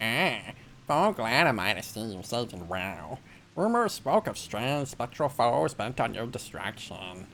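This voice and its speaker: A put-on character voice with a low pitch moves at a fairly slow pace over clear background noise. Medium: video game. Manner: formal, old-fashioned courtesy.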